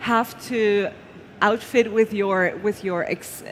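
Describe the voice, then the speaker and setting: A woman at a fairly slow pace, with a non-native accent and noticeable background noise. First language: not English. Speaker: award show presenter. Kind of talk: live award presentation.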